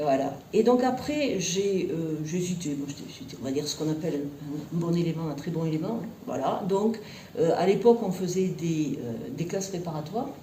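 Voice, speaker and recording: Audible room echo and noticeable background noise surround this woman. She has a southwestern French accent, a fairly low pitch and lively intonation. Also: moderate pace. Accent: southwestern French (Tarbes). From southwestern France, Tarbes. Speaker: university professor and researcher. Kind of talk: interview. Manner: hesitant, many fillers.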